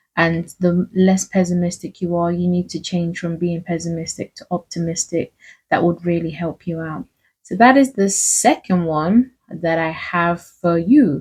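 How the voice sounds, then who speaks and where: Somewhat breathy speech at a fairly slow pace. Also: woman, fairly low pitch for a woman, ordinary pitch variation, big swings in loudness. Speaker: faith and self-help vlogger. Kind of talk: casual motivational talk.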